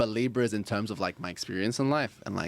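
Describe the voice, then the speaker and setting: A man is speaking. He has an Australian accent. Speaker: astrology and tarot guest. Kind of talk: casual chat. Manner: animated.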